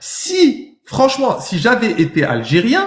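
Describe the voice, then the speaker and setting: His tone animated, a man lets his pitch swing very widely. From France. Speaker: livestreamer debating viewers. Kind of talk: heated debate.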